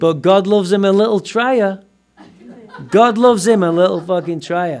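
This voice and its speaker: A man speaks at a moderate pace with a Mancunian accent. His tone is animated. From northern England, Manchester. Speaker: recovering alcoholic speaker at AA meeting. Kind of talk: recovery testimony talk.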